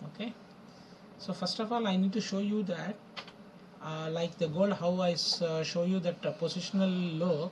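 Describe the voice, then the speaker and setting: A man with a high pitch and fairly even intonation talks at a moderate pace, with long, frequent pauses and noticeable background noise. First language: not English. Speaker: forex trading educator. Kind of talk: tutorial. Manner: halting, with many fillers.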